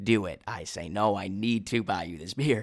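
At a moderate pace, a man with a Minnesota accent talks in a fairly low pitch with ordinary pitch variation. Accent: Minnesotan American. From US Midwest. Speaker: podcast host and study-abroad student. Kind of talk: casual solo monologue. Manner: enthusiastic.

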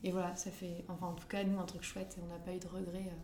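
Over noticeable background noise and audible room echo, a woman of medium pitch talks at a fairly quick pace. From northern France, Lille area. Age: 20s. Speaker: midwife. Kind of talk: casual interview chat.

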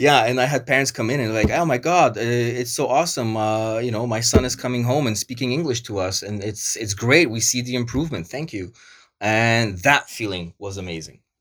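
A man with a Canadian accent and a plain, everyday voice speaks at a fairly quick pace, his medium pitch showing ordinary variation. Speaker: project manager. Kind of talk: casual interview chat.

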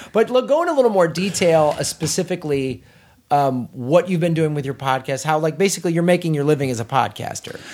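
A man at a very fast pace, animated in tone with lively intonation, amid noticeable background noise. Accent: American. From US Midwest. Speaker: podcast host, comedian. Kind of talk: casual chat. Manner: animated, joking.

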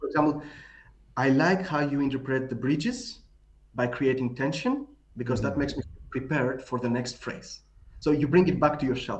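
Somewhat breathy speech in a Greek accent, at a fairly quick pace with ordinary pitch variation and long, frequent pauses. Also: man, fairly high pitch for a man. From Greece. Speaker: tango author. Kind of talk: casual chat.

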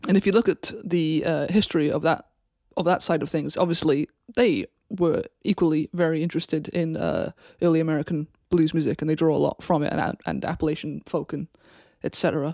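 A woman with a South Wales accent talks at a fairly quick pace in a very deep, low voice with vocal fry, a dark, mellow tone and fairly even intonation, the sound dry and close with no echo. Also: very clean recording, silent background. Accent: Welsh (south Wales). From Wales, Cardiff area. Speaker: guitarist. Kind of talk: interview. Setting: internet call.

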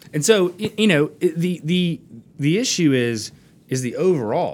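With an American accent, a man with a normal speaking voice talks at a fairly slow pace with lively intonation on a very clean recording with a silent background. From US South, Florida Panhandle (Fort Walton Beach). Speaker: attorney. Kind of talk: casual interview. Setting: studio.

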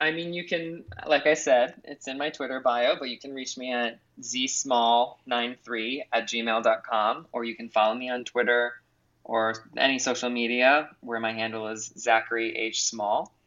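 A man speaks in a normal speaking voice at medium pitch and a fairly slow pace. His intonation stays fairly even while his loudness swings widely. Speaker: journalist. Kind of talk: interview.

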